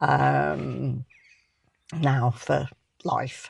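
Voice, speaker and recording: Recorded dry and close without any echo, a woman speaks in a British accent. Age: 60s. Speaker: vlogger. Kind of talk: personal vlog storytelling. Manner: hesitant, many filler ums.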